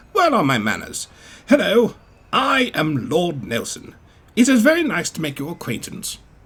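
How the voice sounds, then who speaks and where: A man puts on a character voice, pitched high and full of very wide pitch swings. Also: moderate pace. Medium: read story. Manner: grand, formal, upper-class.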